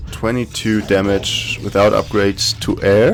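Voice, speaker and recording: Against music in the background, a man with a German accent speaks at a very slow pace. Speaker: gaming YouTuber. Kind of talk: gameplay commentary. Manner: casual, thinking aloud.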